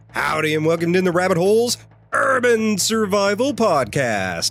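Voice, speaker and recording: Music plays in the background. Over it, a man speaks with very wide pitch swings. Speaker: podcast host. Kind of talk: podcast host intro and interview questions.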